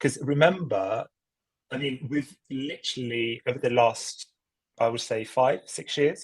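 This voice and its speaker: At a fairly slow pace, a man speaks in a somewhat breathy voice at medium pitch. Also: ordinary pitch variation. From Italy. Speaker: climate finance expert. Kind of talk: podcast interview.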